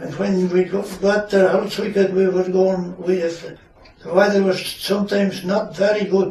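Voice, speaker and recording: A man with a Shetland accent speaks at a fairly slow pace and a high pitch, in a monotone, flat intonation, over noticeable background noise. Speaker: retired fisherman. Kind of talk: interview answer.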